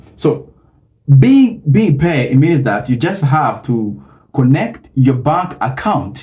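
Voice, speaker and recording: A man speaks very slowly in a somewhat breathy voice with a dark, mellow tone. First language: not English. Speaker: YouTuber. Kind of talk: tutorial. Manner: halting, many fillers.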